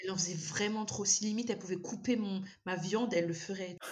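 A woman talks at a very fast pace with a medium pitch. Her voice is somewhat breathy. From Malagasy heritage. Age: 30s. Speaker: endometriosis patient. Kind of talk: casual interview. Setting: remote recording. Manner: animated.

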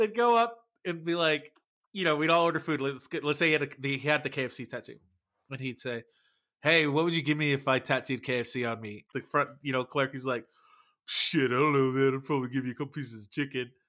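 A man speaks very fast at a fairly high pitch with ordinary pitch variation and a bright, sharp tone. The recording is very clean, with a silent background. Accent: Texas. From Texas. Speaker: podcast host, musician. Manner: casual, profane, joking.

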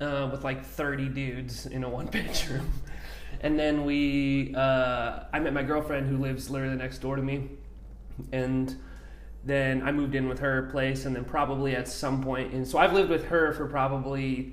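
A man's medium-pitched, monotone, flat voice with audible room echo and noticeable background noise. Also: moderate pace. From New Mexico, Albuquerque. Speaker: coffee company founder, military veteran. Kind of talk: casual interview.

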